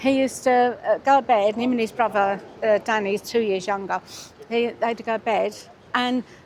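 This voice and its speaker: Noticeable background noise behind a woman talking fairly quickly. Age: 70s. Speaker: stranger interviewed on a bench. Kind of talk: casual chat. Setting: outdoors.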